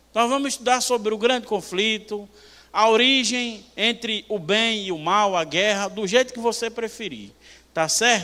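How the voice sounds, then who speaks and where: A man's raised, projected voice in a Bahian accent, high-pitched and animated, at a fairly slow pace with ordinary pitch variation. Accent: northeastern Brazilian (Bahian). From Bahia, Brazil. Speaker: preacher. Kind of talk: sermon. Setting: church.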